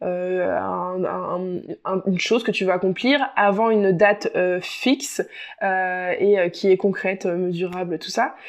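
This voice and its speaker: A medium-pitched woman talks, her pitch varying in an ordinary way. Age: 20s. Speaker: podcast host and life coach. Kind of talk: solo podcast monologue. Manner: hesitant with many fillers.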